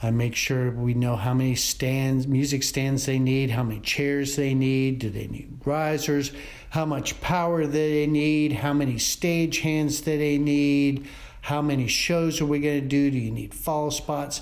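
Amid audible room echo, a man with an American accent speaks at a fairly slow pace, with a fairly high pitch and fairly even intonation. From Columbia, South Carolina, US South. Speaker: theater technical director. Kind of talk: interview.

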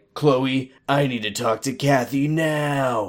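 Using a put-on character voice, a man speaks at a fairly slow pace with a medium pitch and fairly even intonation. The voice is raspy, nasal and gravelly, on a very clean recording with a silent background.

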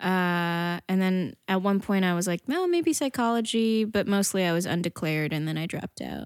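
A woman in a normal speaking voice with an American accent, medium pitch, ordinary pitch variation, moderate pace and hardly any pauses, in a dry, close sound with no echo and a very clean recording with a silent background. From northern New Jersey. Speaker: comedian and actress. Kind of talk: casual chat.

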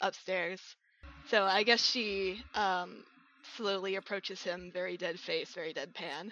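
The words are read aloud in a natural voice.

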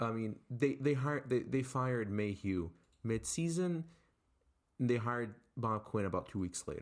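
Recorded very cleanly over a silent background, a man with an American accent uses a normal speaking voice at medium pitch, with lively intonation and a moderate pace. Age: 18. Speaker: sports podcast co-host. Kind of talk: casual chat.

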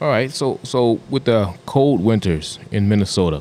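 Pitched fairly low, a man with a normal speaking voice delivers his words with lively intonation. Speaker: podcast co-host. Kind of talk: casual interview. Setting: on location in a store.

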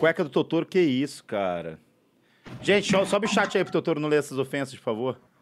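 Speaking at a fairly quick pace, a man with a fairly high pitch uses lively intonation and big swings in loudness. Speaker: podcast host. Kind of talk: casual chat. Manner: animated.

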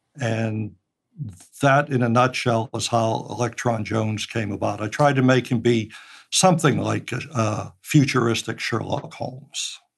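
A man with an American accent speaks at a fairly slow pace in a medium pitch, with vocal fry and ordinary pitch variation. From Pittsburgh, US. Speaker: retired engineer and audio drama writer. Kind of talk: interview. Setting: remote recording from home.

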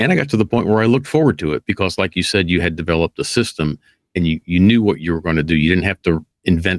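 Talking at a very fast pace with ordinary pitch variation, a man with a very deep, low pitch comes through dry and close with no echo in a very clean recording with a silent background. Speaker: podcast host. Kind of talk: casual chat.

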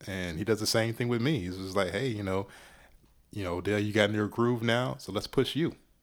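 Fairly low in pitch with ordinary variation, a man with an ordinary speaking voice talks at a fairly quick pace in a very clean recording with a silent background. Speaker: podcaster and hip-hop writer. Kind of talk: casual interview chat.

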